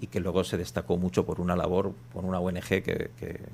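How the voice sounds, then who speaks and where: A man speaks with vocal fry. His pace is moderate. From Spain, Basque Country. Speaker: journalist. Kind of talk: radio interview. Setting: radio studio.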